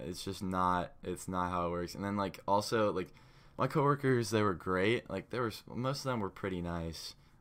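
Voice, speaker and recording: A man with a normal speaking voice talks at a moderate pace, his pitch fairly low with ordinary variation. The recording is very clean, with a silent background. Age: young. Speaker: podcast co-host, college student. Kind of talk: casual chat.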